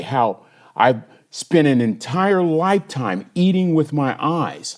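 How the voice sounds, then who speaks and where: Against a quiet background, a man with a plain, everyday voice speaks at a fairly slow pace, fairly high in pitch, with lively intonation. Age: 60s. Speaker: inspirational speaker and minister. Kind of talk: motivational podcast monologue.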